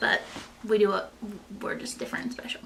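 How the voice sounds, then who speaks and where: Noticeable background noise sits behind this woman's voice. She speaks with a Kentucky accent at a fairly high pitch. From US South, Eastern Kentucky. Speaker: lifestyle vlogger. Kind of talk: casual chat. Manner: animated.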